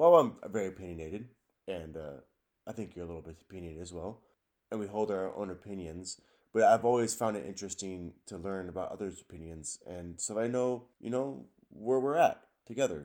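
An ordinary speaking voice from a man in an American accent, fairly low in pitch and fairly quick, with lively intonation and big swings in loudness, in a very clean recording with a silent background. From Washington State, US. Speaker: podcast co-host, construction superintendent. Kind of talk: casual chat.

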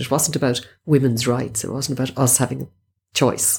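The speaker has a Dublin accent and talks at a very fast pace. The intonation stays monotone and flat. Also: woman. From Dublin, Crumlin. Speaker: reproductive rights activist. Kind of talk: interview testimony.

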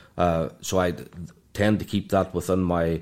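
On a very clean recording with a silent background, a man with a very deep, low voice talks at a moderate pace with fairly even intonation. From Ireland. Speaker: financial planner. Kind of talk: interview. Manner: halting, with frequent repetitions.

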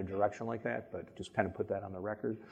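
The speaker has a plain, everyday voice. Their intonation is fairly even. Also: man. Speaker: company executive. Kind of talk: panel discussion.

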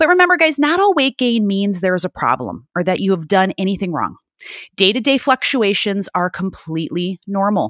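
On a very clean recording with a silent background and a dry, close sound with no echo, a woman with an American accent speaks at a moderate pace in a medium pitch with very wide pitch swings. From Chicago, US Midwest. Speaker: bariatric sports dietitian, podcast host. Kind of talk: solo educational podcast talk.

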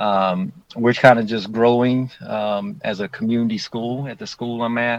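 With a Southern US accent, a man talks fairly slowly at a medium pitch and ordinary pitch variation. His loudness swings widely. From Shelby, North Carolina. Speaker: community school coordinator. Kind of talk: casual interview.

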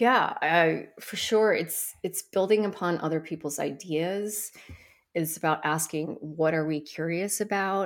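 A woman speaks with an American accent in a normal speaking voice. Her pitch is fairly low, with ordinary variation, and her pace is fairly slow. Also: very clean recording, silent background. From US, Taiwanese American family. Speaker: startup founder and coach. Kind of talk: interview conversation.

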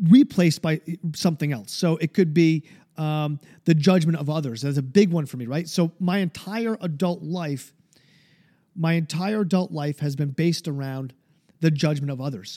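An American man with a fairly high pitch talks at a moderate pace with ordinary pitch variation, and the sound is dry and close with no echo. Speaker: podcast host. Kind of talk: confessional monologue. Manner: halting, filled with ums and repeats; anxious, emotional.

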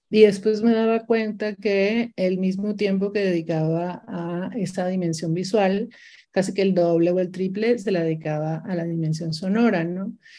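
At a moderate pace, the voice carries a dark, mellow tone and fairly even intonation. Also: woman. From Colombia, Bucaramanga. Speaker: multimedia artist and university teacher. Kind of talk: interview.

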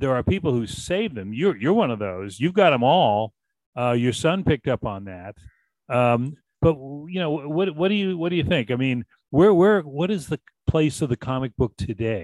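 With an American accent, a man talks at a moderate pace and fairly high pitch, his pitch swinging very widely. The sound is dry and close with no echo, against a quiet background. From Boston. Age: 70s. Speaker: radio interviewer. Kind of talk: interview.

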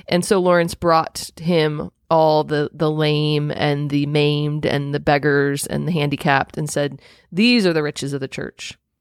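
A woman with a slight Southern accent, very deep, low pitch, fairly even intonation and hardly any pauses, on a very clean recording with a silent background and a dry, close sound with no echo. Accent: slight southern twang. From US Midwest (Indiana). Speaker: podcast co-host. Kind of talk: casual chat.

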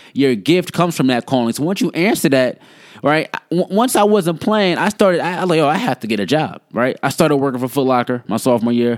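Talking at a very fast pace, a man with a fairly high pitch sounds animated and makes very wide pitch swings. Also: dry, close sound with no echo. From New Jersey, Somerset. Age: 30s. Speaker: podcast host and entrepreneur. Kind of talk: casual monologue.

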